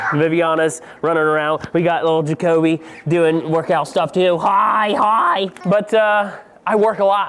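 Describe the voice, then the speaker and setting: Through noticeable background noise, a man with a high pitch talks at very even loudness and fairly even intonation. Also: fairly slow pace. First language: Pennsylvania Dutch. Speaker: drone deer recovery pilot, vlogger. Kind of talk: casual vlog talk to camera. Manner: relaxed, informal.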